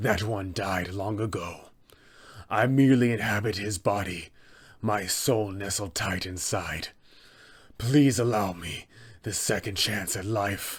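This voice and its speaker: A man puts on a character voice with fairly low pitch. He goes at a fairly slow pace, with long, frequent pauses. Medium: role play. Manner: menacing.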